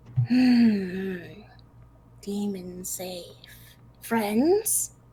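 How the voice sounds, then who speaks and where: A female-sounding voice whispers in a put-on character voice. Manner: whispering, wary.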